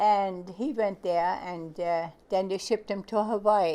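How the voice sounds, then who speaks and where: Against a quiet background, a woman with an American accent speaks at a fairly slow pace in a medium-pitched voice with a dark, mellow tone. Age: 80s+. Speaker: grandmother. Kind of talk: oral history interview. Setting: home recording. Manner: halting.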